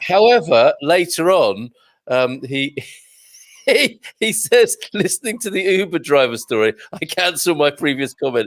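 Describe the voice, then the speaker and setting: Recorded dry and close with no echo, a man with a British accent speaks at a high pitch. His pace is fairly slow, and his pitch swings very widely. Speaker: radio host. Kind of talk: casual chat. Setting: live online show.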